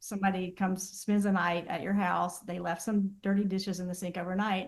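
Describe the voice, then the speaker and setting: In an unremarkable speaking voice, a woman with an American accent speaks at a medium pitch. Her pace is fairly quick and her intonation fairly even. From Southern US. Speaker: therapist. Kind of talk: interview answer.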